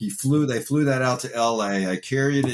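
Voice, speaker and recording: A man in a normal speaking voice keeps a moderate pace, his pitch varying in an ordinary way. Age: 60s. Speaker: actor and former wrestler. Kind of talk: interview. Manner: casual, conversational.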